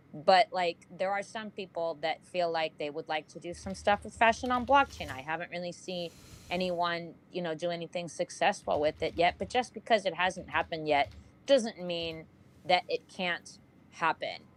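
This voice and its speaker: At a moderate pace, a woman speaks in a fairly low pitch with ordinary pitch variation. Her loudness swings widely. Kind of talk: casual group discussion. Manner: animated, loud.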